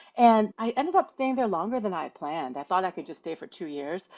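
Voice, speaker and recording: A woman with an American accent speaks with lively intonation. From US Midwest, Toledo, Ohio. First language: Mandarin Chinese. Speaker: patent attorney. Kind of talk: podcast interview. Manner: conversational, casual.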